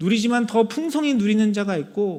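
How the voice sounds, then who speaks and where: This man has a high pitch and a dark, mellow tone. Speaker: pastor. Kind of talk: sermon.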